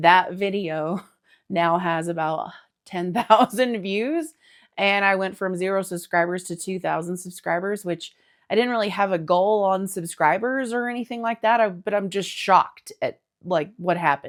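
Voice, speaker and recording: With an American accent, a woman speaks at a moderate pace in a relaxed tone, her medium pitch showing ordinary variation on a very clean recording with a silent background. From Texas. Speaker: knitting podcaster. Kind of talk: casual chat. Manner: casual, relaxed.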